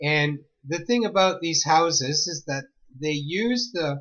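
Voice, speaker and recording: A man's voice sits at a fairly high pitch. He speaks at a fairly slow pace. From Ontario, Canada (Mississauga). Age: 60s. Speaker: spiritual storyteller. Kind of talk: personal storytelling monologue. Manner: casual, halting with fillers.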